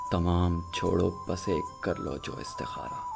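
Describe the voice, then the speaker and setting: A man speaks with fairly even intonation while music plays behind him. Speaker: poetry narrator. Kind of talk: poetry reading.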